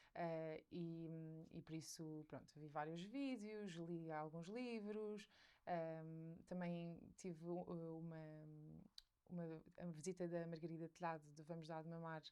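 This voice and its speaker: Speaking at a very slow pace, a woman with a fairly low pitch keeps a fairly even intonation. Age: 20s. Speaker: mother sharing her experience, content creator. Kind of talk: podcast interview. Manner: hesitant, many fillers.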